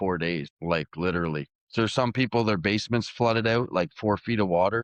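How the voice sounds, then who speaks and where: With a Canadian accent, a man talks in a plain, everyday voice at a fairly low pitch with ordinary pitch variation. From Canada. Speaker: arm wrestler. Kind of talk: interview. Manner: casual, conversational.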